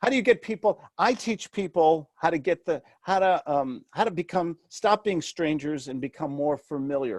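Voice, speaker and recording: A man with a slight New York accent speaks in a high pitch at a moderate pace, with hardly any pauses. His intonation is lively, and the sound is dry and close with no echo. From New York City. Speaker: real estate mentor and author. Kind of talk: interview. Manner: animated.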